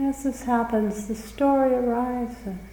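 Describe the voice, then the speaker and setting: A woman's calm tone at a very slow pace, fairly even in intonation, over noticeable background noise. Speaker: meditation guide. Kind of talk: guided meditation. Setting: live retreat recording in a room. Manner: slow, calm, with long pauses.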